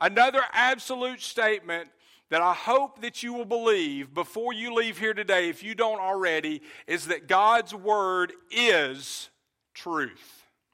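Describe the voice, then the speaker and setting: A man with a high pitch projects a raised voice in a bright, sharp tone. He speaks at a fairly slow pace in a very clean recording with a silent background. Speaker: pastor. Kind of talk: sermon. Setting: church. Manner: loud.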